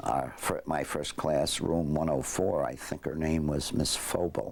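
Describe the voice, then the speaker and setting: A man with a New York accent talks in a very deep, low pitch at a fairly slow pace. His intonation is monotone and flat, and background noise is noticeable. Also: very even loudness. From New York, Westchester County. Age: 70s. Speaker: war veteran. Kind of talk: interview. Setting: at home. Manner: halting.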